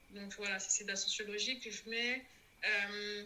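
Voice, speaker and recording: Noticeable background noise accompanies a woman whose fairly high pitch holds a fairly even intonation. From Comoros. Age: 30s. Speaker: podcast guest sharing life story. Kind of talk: testimony interview. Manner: halting.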